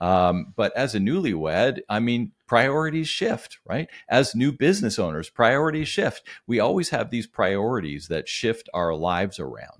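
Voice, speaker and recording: A man at medium pitch with vocal fry, very wide pitch swings, a moderate pace and hardly any pauses, on a very clean recording with a silent background. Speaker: business coach. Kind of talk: casual interview.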